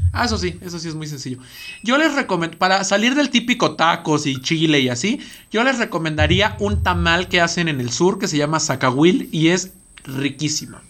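With a bright, sharp tone, a man talks at a moderate pace in a high voice that makes very wide pitch swings. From Estado de México. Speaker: podcast co-host. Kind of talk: casual chat. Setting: studio.

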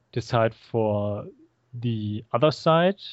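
This man talks at a medium pitch with a German accent. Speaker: filmmaker. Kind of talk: interview. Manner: halting.

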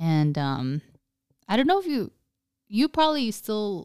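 The recording of this woman is very clean, with a silent background. Its sound is dry and close, with no echo. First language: Spanish. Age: 20s. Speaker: podcast co-host. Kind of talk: casual chat.

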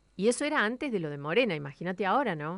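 In a Rioplatense accent, a woman speaks at a very fast pace and medium pitch against a quiet background. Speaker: radio host. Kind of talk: casual radio chat. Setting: studio.

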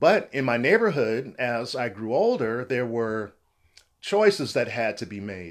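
A man has a plain, everyday voice at a medium pitch, with lively intonation. He speaks at a fairly slow pace on a very clean recording with a silent background. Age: 50s. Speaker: respiratory therapist. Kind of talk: interview.

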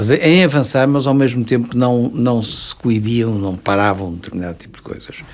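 A man's medium-pitched voice with a European Portuguese accent, moderate pace, ordinary pitch variation and big swings in loudness. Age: 70s. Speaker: retired diplomat. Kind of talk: interview. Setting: studio.

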